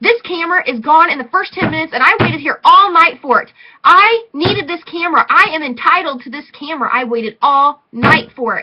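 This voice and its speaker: Putting on a whiny character voice, a woman shouts in a raised, projected, high-pitched voice at a fairly quick pace. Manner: yelling, whiny, demanding.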